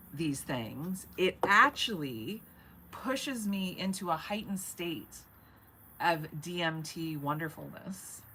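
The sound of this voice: Slowly, a woman speaks in a bright, sharp tone.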